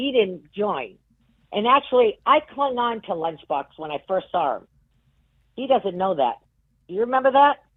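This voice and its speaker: A woman with a New England accent, fairly high in pitch and very wide in her pitch swings, at a moderate pace with long, frequent pauses. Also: big swings in loudness. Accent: New England, non-rhotic. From Massachusetts (Worcester). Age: 60s. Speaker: game show contestant. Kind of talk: casual chat. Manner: animated.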